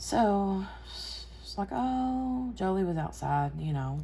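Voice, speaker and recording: Room echo is audible here. The voice belongs to a woman. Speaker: crafting YouTuber. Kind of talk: casual chat while crafting. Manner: talking lower than normal.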